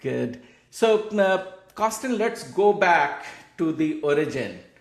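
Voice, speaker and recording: A man with a high voice speaks at a very slow pace. Room echo is audible, and there is noticeable background noise. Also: ordinary pitch variation. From India. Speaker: podcast host. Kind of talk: interview.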